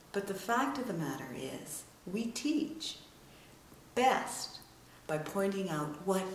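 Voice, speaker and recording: Amid noticeable background noise, a woman talks at a fairly slow pace with very wide pitch swings. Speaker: international speaker, author and storyteller; communication coach. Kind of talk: business advice talk to camera. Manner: energetic, enthusiastic.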